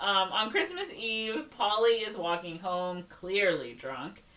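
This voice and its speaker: A woman with a Chicago accent speaks at a medium pitch and a fairly slow pace, with hardly any pauses. Her pitch swings very widely, her loudness shifts in big swings, and noticeable background noise runs underneath. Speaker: podcast host. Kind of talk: reading plot summary in casual podcast; casual chat.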